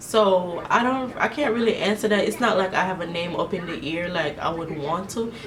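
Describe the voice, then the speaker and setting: Amid noticeable background noise and audible room echo, a woman with a medium pitch talks at a moderate pace in an animated tone, with ordinary pitch variation. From Jamaica. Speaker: beauty vlogger. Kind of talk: casual chat. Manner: casual, animated.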